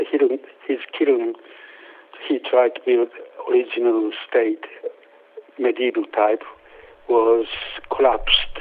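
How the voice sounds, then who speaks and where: Very slowly and at a very even loudness, a man speaks with long, frequent pauses over noticeable background noise. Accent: Japanese. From Japan. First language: Japanese. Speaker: potter and kiln builder. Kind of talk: casual interview. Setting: phone call. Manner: halting.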